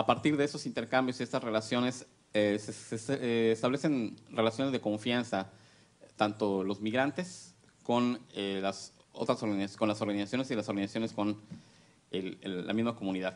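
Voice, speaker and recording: With ordinary variation around a medium pitch, a man is talking. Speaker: academic researcher. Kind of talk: conference presentation. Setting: panel with audience. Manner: fast; halting, many fillers.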